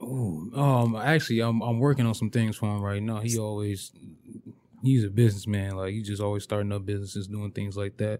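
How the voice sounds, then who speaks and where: Using fairly even intonation at a fairly quick pace, a man with an American accent speaks with fairly low pitch and a dark, mellow tone. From Flint, Michigan. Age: 20s. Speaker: illustrator and rapper. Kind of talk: casual interview chat.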